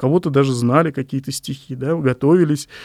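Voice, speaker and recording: Over a quiet background, a man talks in a normal speaking voice at a moderate pace with ordinary pitch variation. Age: 40s. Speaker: poet and publishing editor. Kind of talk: interview monologue.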